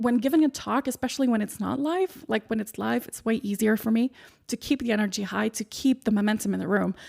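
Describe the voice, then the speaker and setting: In a very clean recording with a silent background and a dry, close sound with no echo, a woman speaks at a fairly quick pace in a somewhat breathy, fairly high voice with ordinary pitch variation. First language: not English. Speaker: podcast host and speaking coach. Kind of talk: solo podcast monologue.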